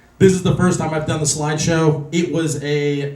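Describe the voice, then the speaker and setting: A man speaks with an American accent at a fairly high pitch. There is audible room echo. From Los Angeles. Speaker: real estate investor speaker. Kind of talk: presentation to meetup audience.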